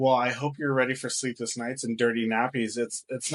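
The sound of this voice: The reading voice is unforced, and its intonation holds fairly even.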